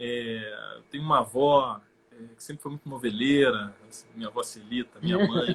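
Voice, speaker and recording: An ordinary speaking voice at a moderate pace, with big swings in loudness and ordinary pitch variation. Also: man, medium pitch for a man. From Rio de Janeiro state, Brazil (São Gonçalo). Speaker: actor. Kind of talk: interview on a live stream.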